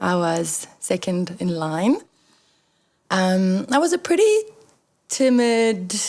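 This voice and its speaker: A woman with a French accent talks at a very slow pace with long, frequent pauses, her medium pitch carried by lively intonation. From Belgium (French-speaking south), then South Africa from age 12. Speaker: entrepreneur, company founder. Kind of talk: interview.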